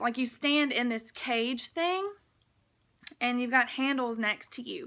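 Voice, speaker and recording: A woman speaks with a fairly high pitch and a bright, sharp tone. The recording is very clean, with a silent background. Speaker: army recruit vlogger. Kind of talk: casual vlog explanation. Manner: casual, filler-heavy; stuttering today.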